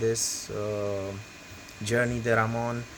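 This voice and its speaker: A man talks at a fairly slow pace with a medium pitch. The room echo is audible, and there is noticeable background noise. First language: not English. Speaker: 3D printing hobbyist youtuber. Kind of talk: tutorial. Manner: hesitant, many fillers. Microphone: bad audio.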